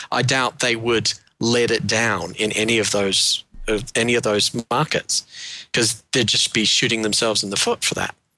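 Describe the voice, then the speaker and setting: In a New Zealand accent, a man talks at a moderate pace with fairly even intonation and medium pitch. The sound is dry and close, with no echo. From Wellington, New Zealand. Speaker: panelist. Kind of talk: casual chat.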